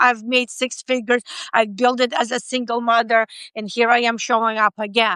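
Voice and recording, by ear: A woman with a non-native accent speaks at a fairly high pitch with little pitch movement. Her tone is bright, sharp, clear and smooth, and the sound is dry and close with no echo. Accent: foreign-accented English.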